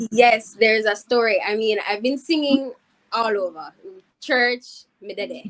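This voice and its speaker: A woman with a Jamaican accent speaks at a fairly slow pace. Her fairly high pitch shows ordinary variation. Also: big swings in loudness. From Jamaica, Saint Catherine (Spanish Town). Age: 20s. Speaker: singer. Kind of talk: interview.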